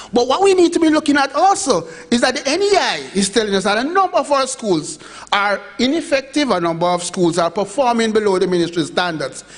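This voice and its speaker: Against noticeable background noise, a man with a Jamaican accent speaks at a fairly quick pace and an extremely high pitch, with very wide pitch swings but very even loudness. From Jamaica, Montego Bay. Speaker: education official presenter. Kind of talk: conference presentation.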